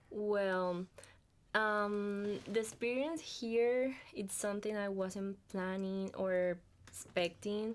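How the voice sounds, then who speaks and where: A woman speaks at a very slow pace in a Colombian accent, her medium pitch held in fairly even intonation. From Colombia, Cartagena. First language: Spanish. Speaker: international student. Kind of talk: podcast interview.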